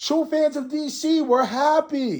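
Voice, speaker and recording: On a very clean recording with a silent background, a man shouts loudly at an extremely high pitch. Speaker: YouTube commentator. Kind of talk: rant. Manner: animated; loud, yelling.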